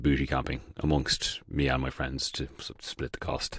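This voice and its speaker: At a moderate pace, a man talks with a very deep, low pitch, vocal fry, and monotone, flat intonation. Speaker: podcast host. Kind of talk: casual monologue. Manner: halting, many fillers.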